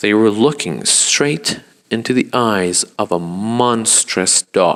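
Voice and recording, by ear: Someone reads aloud in a natural voice. The pitch varies in an ordinary way.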